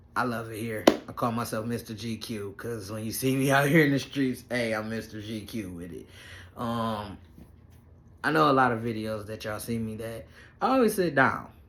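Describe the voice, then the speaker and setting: Speech at a moderate pace with ordinary pitch variation, big swings in loudness and long, frequent pauses comes through audible room echo. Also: man. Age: 30s. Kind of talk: casual vlog update. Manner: halting.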